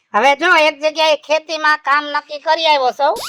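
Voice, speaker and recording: This is a put-on character voice at a moderate pace. Its loudness stays very even. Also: woman, high pitch for a woman. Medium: comedy sketch. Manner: easygoing, laughing.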